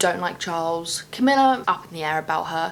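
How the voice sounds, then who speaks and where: Fairly quick speech with a British accent, ordinary pitch variation and noticeable background noise. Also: woman. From UK. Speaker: booktuber. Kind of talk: casual vlog talk. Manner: animated.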